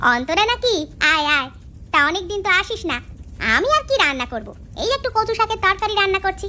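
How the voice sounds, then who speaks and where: Over clear background noise, a woman puts on a cartoonish character voice at an extremely high pitch, with very wide pitch swings and a fairly quick pace. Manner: sharp-tongued, bossy.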